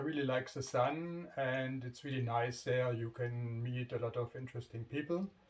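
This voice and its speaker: A man at medium pitch with a non-native accent, somewhat breathy, at a fairly slow pace with ordinary pitch variation. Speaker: motorcycle vlogger. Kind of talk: casual vlog introduction. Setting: home garage. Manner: halting, many fillers.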